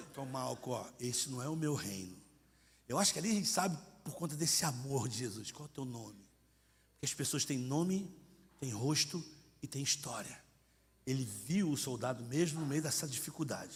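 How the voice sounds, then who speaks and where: A man with a somewhat breathy voice and lively intonation speaks at a moderate pace with long, frequent pauses, and room echo is audible. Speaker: missionary preacher. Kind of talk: sermon. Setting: church congress with audience. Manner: animated, acts out dialogue; colloquial, informal.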